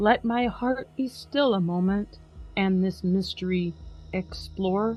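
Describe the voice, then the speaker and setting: A woman speaks very slowly in a somewhat breathy voice with ordinary pitch variation. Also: medium pitch for a woman. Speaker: podcast host. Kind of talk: dramatic poetry reading.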